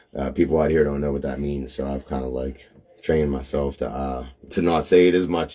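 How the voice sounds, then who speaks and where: Over noticeable background noise, a man with a Pittsburgh accent speaks at a fairly quick pace with fairly even intonation. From Pittsburgh area, western Pennsylvania. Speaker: reseller, live streamer. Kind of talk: casual live stream chat. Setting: live video stream. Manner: fast; filler-heavy, repetitive.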